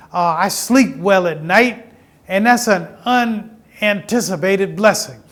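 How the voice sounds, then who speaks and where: A man speaks at a fairly slow pace and high pitch, with ordinary pitch variation. Audible echo fills the room. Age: 70s. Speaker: pastor. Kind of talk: sermon; interview.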